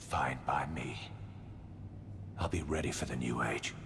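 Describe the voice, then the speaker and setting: A man whispers in a put-on character voice at a moderate pace. Loud background noise runs behind him. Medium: audio drama. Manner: bitter, clipped.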